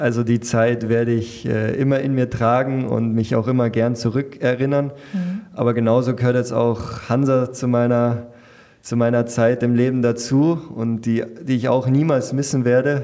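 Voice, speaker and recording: With very even loudness, a man speaks at medium pitch with fairly even intonation. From Bavaria, Munich area. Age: 20s. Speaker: professional footballer. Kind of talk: interview. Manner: hesitant, many fillers.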